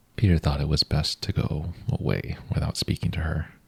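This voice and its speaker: A man is whispering at a moderate pace. His tone is gentle. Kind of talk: bedtime story reading. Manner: soft-spoken, gentle.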